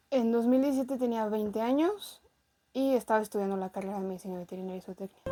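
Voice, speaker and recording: A woman's fairly high-pitched voice with a dark, mellow tone, ordinary pitch variation and a very fast pace. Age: 20s. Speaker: veterinarian. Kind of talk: interview testimony.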